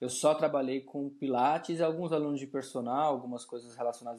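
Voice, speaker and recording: A medium-pitched man speaks at a moderate pace with fairly even intonation in a very clean recording with a silent background. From Brazil, São Paulo. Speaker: personal trainer. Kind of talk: casual interview conversation. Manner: halting, with frequent repetitions and fillers.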